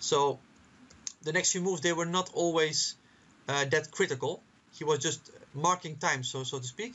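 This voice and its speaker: A man speaks at a moderate pace in a fairly high voice with ordinary pitch variation. He takes long, frequent pauses. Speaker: chess commentator. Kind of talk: chess analysis commentary. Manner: halting, many repetitions.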